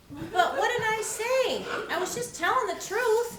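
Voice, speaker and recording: In a squeaky, put-on character voice at an extremely high pitch, a woman talks at a moderate pace, with slight echo and clear background noise. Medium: stage play. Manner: earnest, naive.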